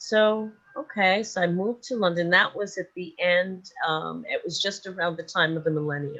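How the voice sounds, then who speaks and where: A woman's medium-pitched voice with a New York accent, ordinary pitch variation, a moderate pace and hardly any pauses. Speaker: sleep and dream coach. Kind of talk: interview.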